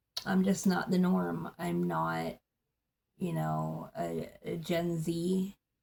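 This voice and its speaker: A woman's mumbling at a very slow pace. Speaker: political vlogger. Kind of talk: casual monologue. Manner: animated.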